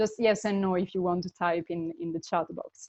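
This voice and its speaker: With an Italian accent, a woman speaks at a fairly quick pace in a dark, mellow tone with fairly even intonation, recorded with a dry, close sound and no echo. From Italy. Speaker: intercultural management consultant. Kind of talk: webinar presentation. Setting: online webinar.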